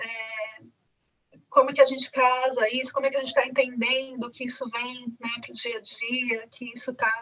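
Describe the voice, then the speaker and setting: Speaking at a moderate pace, a woman uses a high pitch and monotone, flat intonation, with big swings in loudness. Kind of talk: panel discussion. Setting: video call.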